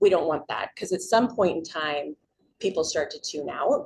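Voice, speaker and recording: A woman speaks in an ordinary speaking voice, fairly low in pitch, at a moderate pace. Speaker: public speaking teacher. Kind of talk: community presentation.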